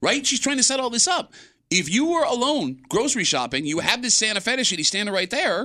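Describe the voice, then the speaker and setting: Raised and projected, a man's extremely high voice with a bright, sharp tone races at a very fast pace through very wide pitch swings while its loudness stays very even. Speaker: radio host. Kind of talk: casual chat. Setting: studio.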